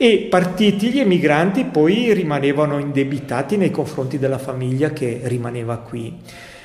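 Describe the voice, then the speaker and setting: This man's voice is fairly high in pitch, with lively intonation. He keeps a moderate pace over noticeable background noise. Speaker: museum foundation director. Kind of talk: interview.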